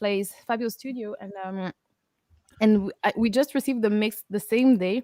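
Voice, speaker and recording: A woman with a French accent, at a moderate pace, ordinary pitch variation, in a dry, close sound with no echo. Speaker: metal band vocalist. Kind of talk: casual chat. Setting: live stream video call.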